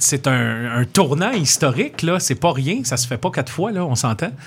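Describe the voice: A man with a fairly high pitch, big pitch swings and a moderate pace.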